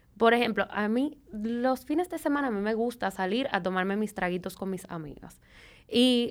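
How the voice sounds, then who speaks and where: In a normal speaking voice, a woman with a fairly high pitch talks at a moderate pace with lively intonation over a very clean recording and a silent background. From Venezuela. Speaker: nutritionist. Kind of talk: casual chat.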